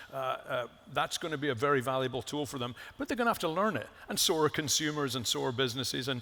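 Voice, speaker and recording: A man with a medium pitch and a bright, sharp tone talks at a very fast pace with lively intonation. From Scotland. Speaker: company executive. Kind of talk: panel interview.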